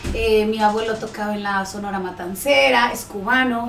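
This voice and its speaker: A woman speaks at a fairly slow pace. Noticeable background noise sits behind her. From Central America (Guatemala, El Salvador, Honduras). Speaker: pediatric dentist. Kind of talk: interview.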